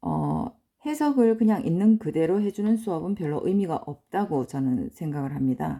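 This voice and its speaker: A woman's dark, mellow, medium-pitched voice with very wide pitch swings, a moderate pace and hardly any pauses, on a very clean recording against a silent background. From provincial South Korea. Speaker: English teacher, cram school owner. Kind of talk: lecture.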